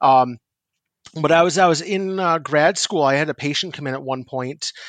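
In an ordinary speaking voice with an American accent, a man talks at a fairly slow pace and fairly high pitch with ordinary pitch variation, the sound dry and close with no echo and the background quiet. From northern New York, near Canadian border. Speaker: psychiatric nurse practitioner. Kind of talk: podcast interview.

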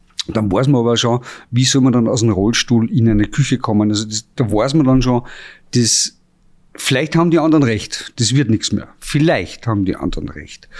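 A man with a normal speaking voice, medium pitch and ordinary pitch variation, at a moderate pace on a very clean recording with a silent background. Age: 50s. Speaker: chef and restaurant owner. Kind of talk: testimony. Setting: restaurant.

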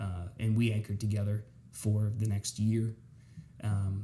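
A somewhat breathy man speaks at a fairly low pitch. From south central Pennsylvania (York). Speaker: TV news anchor. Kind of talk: casual interview chat.

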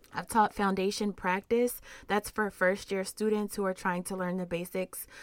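The speaker talks at a moderate pace in a flat, monotone delivery. The recording is very clean, with a completely silent background. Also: woman. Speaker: social worker and trauma researcher. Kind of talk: interview conversation.

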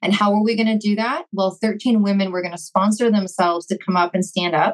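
With a Canadian accent, this is a plain, everyday voice, showing ordinary pitch variation at a fairly quick pace. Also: woman. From Vancouver, Canada. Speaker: entrepreneur. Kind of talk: casual chat.

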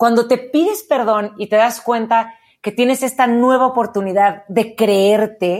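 With an animated tone, a woman talks at a fairly high pitch. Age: 40s. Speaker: radio host and motivational speaker. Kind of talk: interview about personal growth.

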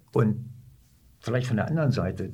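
A dark, mellow tone with vocal fry rings with audible room echo. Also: man. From northern Germany, Hannover. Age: 70s. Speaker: retired army officer. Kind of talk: interview, personal recollection. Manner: halting, with many fillers.

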